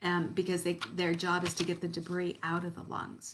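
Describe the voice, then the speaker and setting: The woman here speaks with a fairly low pitch. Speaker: quit-smoking coach and hypnotherapist. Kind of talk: tutorial. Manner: casual, conversational with fillers.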